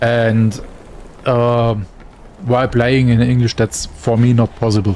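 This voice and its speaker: With a German accent, a man speaks at medium pitch using fairly even intonation. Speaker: gaming streamer. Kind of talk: casual chat. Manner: halting.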